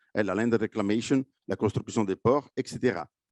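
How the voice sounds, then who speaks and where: A man speaks with a slight Italian accent. The sound is dry and close, with no echo. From Italy. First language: Italian (speaking French). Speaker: marine scientist. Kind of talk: conference presentation. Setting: conference with live and online audience. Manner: hesitant, many fillers.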